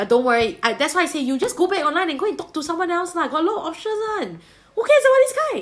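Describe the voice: This woman has a Singaporean accent and an extremely high pitch. She talks fast, with big pitch swings.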